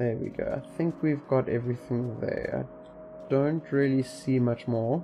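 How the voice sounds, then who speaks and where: With music playing behind him, a man talks at a fairly slow pace with hardly any pauses. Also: big swings in loudness. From South Africa. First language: Afrikaans. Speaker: gaming streamer. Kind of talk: live gameplay commentary. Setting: livestream. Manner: casual, halting with frequent repetitions.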